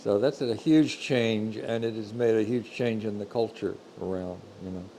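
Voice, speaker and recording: A man with an American accent, a dark, mellow tone, medium pitch, ordinary pitch variation and a moderate pace. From Texas, near Fort Worth. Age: 70s. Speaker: painter and miller. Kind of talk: interview. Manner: halting, with many fillers.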